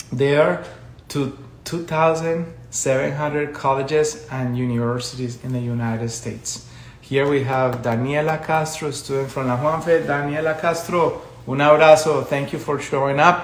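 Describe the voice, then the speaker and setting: Audible room echo and noticeable background noise surround the recording. A man with a fairly high pitch speaks at a moderate pace with fairly even intonation. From Colombia. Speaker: education consultant. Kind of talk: live stream talk. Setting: social media live video.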